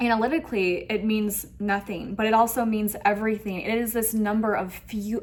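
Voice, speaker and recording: Over noticeable background noise, a woman with a fairly high pitch speaks in an animated tone. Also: moderate pace. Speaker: tarot reader. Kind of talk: tarot reading to camera.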